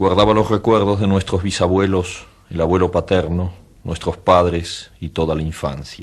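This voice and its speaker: Very deep, low male voice at a moderate pace, with fairly even intonation, over a quiet background. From Argentina. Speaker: writer. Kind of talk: author reading his own short story.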